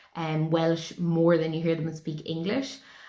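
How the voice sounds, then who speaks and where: A woman with an Irish accent talks at a moderate pace in a fairly low pitch. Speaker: spiritual teacher. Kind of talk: spiritual talk.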